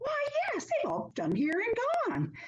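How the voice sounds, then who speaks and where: A woman's squeaky, put-on character voice. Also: fairly slow pace. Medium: read story. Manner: folksy, plain-spoken.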